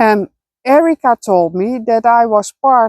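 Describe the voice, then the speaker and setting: In a Dutch accent, a woman speaks at a very slow pace with a dark, mellow tone, the sound dry and close with no echo. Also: very clean recording, silent background. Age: 40s. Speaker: spiritual vlogger. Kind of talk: personal vlog monologue. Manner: halting, many fillers.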